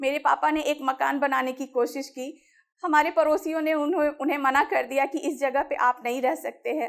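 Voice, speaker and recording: A woman speaks with a high pitch. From Bihar, Muzaffarpur. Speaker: women's rights activist. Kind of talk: motivational talk.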